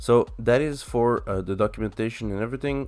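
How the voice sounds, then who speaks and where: Backed by music, a man with a French accent speaks at a medium pitch with fairly even intonation. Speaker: tech YouTuber, software developer. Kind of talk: coding tutorial. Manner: halting, many fillers.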